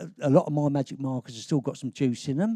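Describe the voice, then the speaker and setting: A man speaks at a moderate pace with a fairly high pitch, ordinary pitch variation and a dark, mellow tone, in a very clean, dry, close recording with a silent background and no echo. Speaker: advertising creative director. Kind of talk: live conference talk. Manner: casual, humorous.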